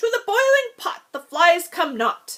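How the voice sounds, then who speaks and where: Putting on a character voice, a woman speaks at a moderate pace in an extremely high, squeaky, shrill pitch with very wide pitch swings. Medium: read story. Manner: barking, impatient.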